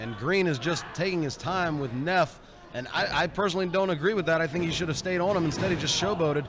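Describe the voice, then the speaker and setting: Over noticeable background noise, a high-pitched man talks at a very fast pace with ordinary pitch variation. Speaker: wrestling commentator. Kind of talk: wrestling play-by-play commentary.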